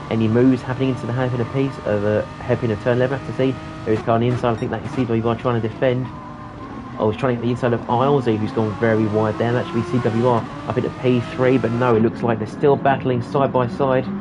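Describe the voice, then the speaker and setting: A man at a very fast pace, with audible room echo and music in the background. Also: medium pitch for a man. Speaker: esports race commentator. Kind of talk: live commentary. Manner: animated.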